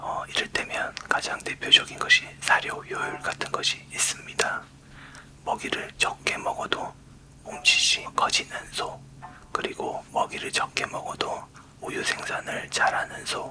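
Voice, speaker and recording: A man whispers at a very slow pace. Noticeable background noise is audible. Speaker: university professor of smart livestock science. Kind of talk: lecture-style explanation in ASMR whisper series. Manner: soft-spoken, close-mic, explanatory.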